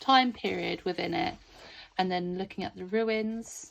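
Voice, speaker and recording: On a very clean recording with a silent background, a woman with a British accent speaks at a moderate pace with fairly even intonation. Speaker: homeschool curriculum creator. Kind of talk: product walkthrough. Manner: speech and pronunciation not always clear; casual, chatty with hesitations.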